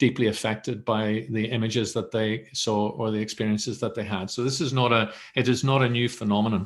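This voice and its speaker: The speaker is a man with a Northern Irish accent. His intonation is monotone and flat. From Northern Ireland. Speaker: mental health professional, academic centre director. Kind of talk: webinar presentation.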